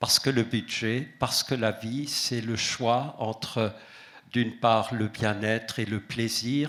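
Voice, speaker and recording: A man with an Alsatian accent speaks at a very slow pace in a monotone, flat intonation. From Alsace. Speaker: association president. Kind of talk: conference talk. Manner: hesitant with fillers.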